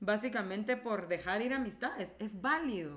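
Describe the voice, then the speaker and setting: A woman speaks at a fairly slow pace in a bright, sharp tone. She sounds animated, with lively intonation. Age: 30s. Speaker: podcast co-host, creative director. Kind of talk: casual chat. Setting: studio.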